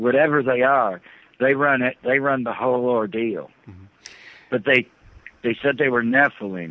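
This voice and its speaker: A man speaks at a moderate pace with a medium pitch and ordinary pitch variation. He leaves long, frequent pauses. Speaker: former military officer recounting secret projects. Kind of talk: interview. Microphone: satellite phone with delay and static.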